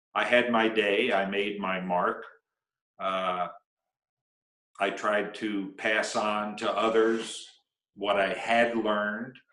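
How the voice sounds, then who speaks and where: Speaking at a very slow pace with long, frequent pauses, a man holds a monotone, flat intonation amid audible room echo. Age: 60s. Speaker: snowboarding pioneer and coach. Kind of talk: interview. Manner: halting.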